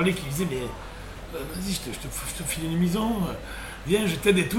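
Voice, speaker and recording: A man's voice with ordinary pitch variation, audible room echo and noticeable background noise. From southern France, Sète area. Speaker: former sports journalist, web radio co-founder. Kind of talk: casual chat.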